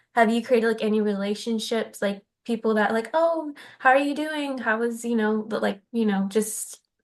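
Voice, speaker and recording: A woman uses an ordinary speaking voice, fairly high in pitch, keeping a moderate pace and ordinary pitch variation. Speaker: film student interviewer. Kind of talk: interview questions.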